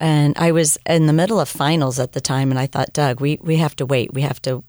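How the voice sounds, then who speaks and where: Very deep and low in pitch, a woman talks at a fairly quick pace with fairly even intonation. The sound is dry and close with no echo, on a very clean recording with a silent background. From California, Mexican-American family. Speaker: missionary and former teacher. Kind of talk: interview testimony. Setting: studio.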